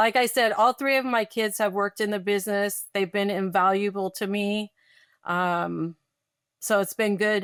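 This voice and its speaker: In a very clean recording with a silent background and dry, close sound with no echo, a woman with a normal speaking voice talks at a medium pitch and a moderate pace, her intonation fairly even. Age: 60s. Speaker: pest control business owner. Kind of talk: podcast interview.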